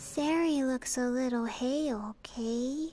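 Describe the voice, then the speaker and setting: Putting on a character voice, a woman talks fairly slowly in a high pitch with fairly even intonation as faint music plays behind her. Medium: video game. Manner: dreamy, offbeat.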